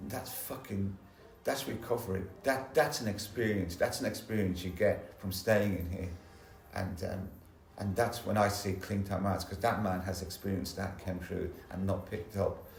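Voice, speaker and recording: Heard with audible room echo, a somewhat breathy voice in a London accent moves at a moderate pace with fairly even intonation. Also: man, fairly low pitch for a man. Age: 60s. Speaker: recovering addict sharing at a support meeting. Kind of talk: testimony. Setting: church hall meeting with audience. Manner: halting, repetitive.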